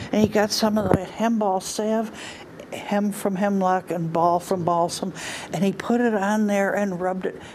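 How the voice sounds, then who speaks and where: Fairly even intonation at a fairly slow pace, with noticeable background noise. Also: woman. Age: 80s+. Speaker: storyteller. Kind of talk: storytelling.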